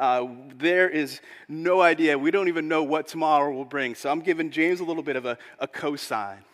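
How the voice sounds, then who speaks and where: This man has a normal speaking voice, fairly high in pitch with ordinary pitch variation, delivered at a moderate pace. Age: 40s. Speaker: pastor. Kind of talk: sermon.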